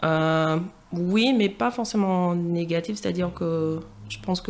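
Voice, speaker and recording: Fairly low pitch from a woman speaking at a fairly slow pace, her pitch varying in an ordinary way. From Martinique, then Paris region from age 12. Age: 20s. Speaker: podcast guest. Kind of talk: interview. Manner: hesitant, many fillers.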